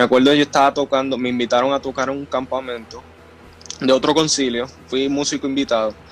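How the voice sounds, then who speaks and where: At a very fast pace, a man talks in a medium pitch with a monotone, flat intonation over noticeable background noise. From Puerto Rico, Río Grande. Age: 20s. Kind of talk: interview.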